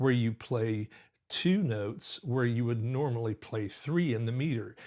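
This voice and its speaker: A man speaks at a moderate pace in a medium pitch with ordinary pitch variation. His voice is somewhat breathy, and the recording is very clean with a silent background. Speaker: pianist and music teacher. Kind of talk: tutorial. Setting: live stream. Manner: animated.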